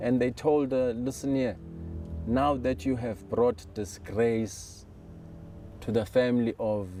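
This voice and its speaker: A man's dark, mellow tone at a very slow pace. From South Africa, Vryheid, northern KwaZulu-Natal. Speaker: community member sharing life story. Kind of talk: personal testimony interview. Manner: hesitant, many fillers.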